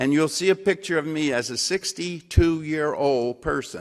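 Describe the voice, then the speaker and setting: Against a quiet background, a man with an Alabama accent speaks at a fairly slow pace with ordinary pitch variation. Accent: Southern US (Alabama). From US South, Alabama (Mobile). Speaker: civil rights activist. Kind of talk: lecture.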